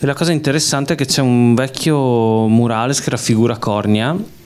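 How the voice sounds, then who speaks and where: A man speaks at a medium pitch and moderate pace, with ordinary pitch variation, over noticeable background noise. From Veneto, Belluno area (Sedico). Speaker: film director. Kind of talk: public Q&A talk. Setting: cinema with audience.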